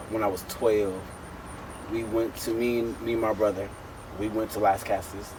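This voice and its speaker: A man's fairly low-pitched voice against noticeable background noise. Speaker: interview guest, comedian. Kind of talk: casual chat. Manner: animated.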